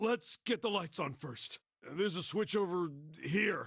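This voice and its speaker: A man puts on a raspy character voice, pitched high, with lively intonation. He talks at a moderate pace. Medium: video game. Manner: gruff, blunt.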